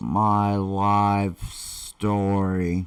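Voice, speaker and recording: Over a quiet background, a man talks with a fairly low pitch. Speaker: online marketer; vlogger telling his life story. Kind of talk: live stream talk. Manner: very slow. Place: home room. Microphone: webcam.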